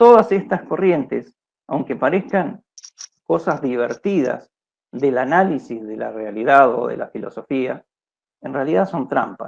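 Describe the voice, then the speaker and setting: This man's voice sits fairly high and swings very widely in pitch. Vocal fry creeps into it. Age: 60s. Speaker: philosophy researcher, lecturer. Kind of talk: lecture. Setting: video call. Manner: halting.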